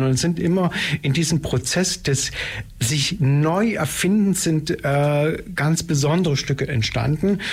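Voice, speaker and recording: A man speaks with an ordinary speaking voice. His pitch is fairly high, with ordinary pitch variation. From East Germany (Saxony). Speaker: dance theatre director and choreographer. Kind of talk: radio interview.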